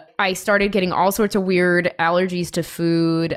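Flat and monotone, a woman speaks in a fairly low voice with an American accent. Her pace is moderate. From US Midwest, Chicago. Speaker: musician and music producer. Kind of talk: casual interview chat.

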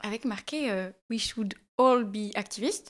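Captured in a very clean recording with a silent background, a woman with an unremarkable speaking voice shows ordinary pitch variation. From Switzerland, Valais. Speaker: podcast host. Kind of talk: casual chat. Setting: radio studio.

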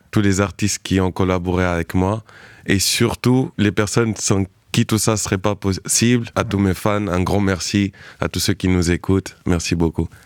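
A fairly slow, fairly evenly intoned delivery in a plain, everyday voice, with a dry, close sound with no echo and a very clean recording with a silent background. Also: man, fairly low pitch for a man. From Spain, Cape Verdean family. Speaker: singer and songwriter. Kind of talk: radio interview.

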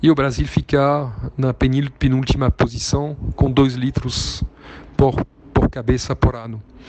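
A man with a medium pitch speaks at a fairly slow pace with fairly even intonation. He takes long, frequent pauses, and noticeable background noise is present. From southern France. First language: French (speaking Portuguese). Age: 50. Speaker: business executive and investor. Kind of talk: interview talk. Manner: halting, with many fillers.

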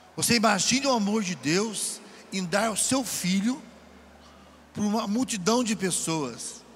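The pace is fairly slow. A man speaks at a high pitch. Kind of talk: sermon at a retreat. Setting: event with audience. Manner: animated.

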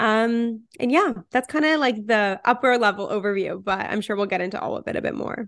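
Against a quiet background, a woman with a plain, everyday voice talks at a fairly quick pace and fairly high pitch, with ordinary pitch variation and hardly any pauses. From Canada, Toronto. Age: 20s. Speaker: physician and content creator. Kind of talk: casual interview.

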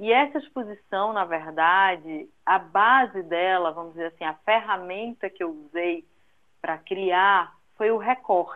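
This woman speaks with a Recife accent at a very slow pace. Her pitch is medium, with ordinary pitch variation. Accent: northeastern Brazilian (Recife) accent kept. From Recife, northeastern Brazil. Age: 40s. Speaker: graphic designer. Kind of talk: interview. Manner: talkative, animated.

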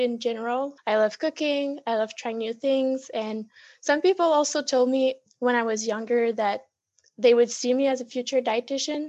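In a French accent, a woman speaks high-pitched with fairly even intonation over a quiet background. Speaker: dietetics student and blogger. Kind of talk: casual interview.

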